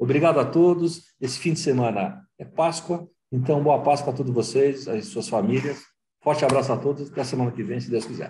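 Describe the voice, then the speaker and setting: This man talks at a fairly quick pace in a fairly high, dark and mellow voice with vocal fry and ordinary pitch variation. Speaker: talk show host, federation president. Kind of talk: panel discussion.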